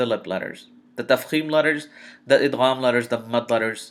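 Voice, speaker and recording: An ordinary speaking voice from a man, fairly quick pace, fairly even intonation, very clean recording with a silent background. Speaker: Quran recitation teacher. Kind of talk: tutorial.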